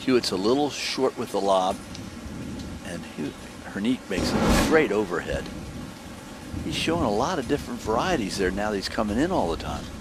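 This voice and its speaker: Over noticeable background noise, a man with a fairly low pitch speaks at a fairly quick pace with lively intonation and long, frequent pauses. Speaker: tennis commentator. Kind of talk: live commentary.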